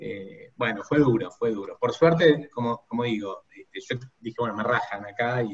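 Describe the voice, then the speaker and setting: A somewhat breathy man's voice at medium pitch with ordinary pitch variation. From Buenos Aires, Argentina. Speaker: human resources executive. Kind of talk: interview.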